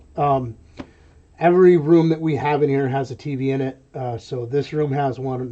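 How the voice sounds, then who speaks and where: A man with an American accent speaks at a fairly high pitch. It is an unremarkable speaking voice at a moderate pace. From New York. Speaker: online reseller and live streamer. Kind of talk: live stream chat while working. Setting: warehouse room, webcam live stream. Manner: casual, with many fillers.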